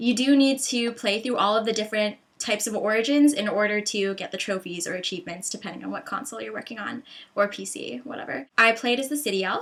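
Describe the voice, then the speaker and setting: The voice is animated, with ordinary pitch variation and big swings in loudness. It moves at a very fast pace with hardly any pauses. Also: woman, fairly high pitch for a woman. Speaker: gaming video host. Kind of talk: casual video review monologue.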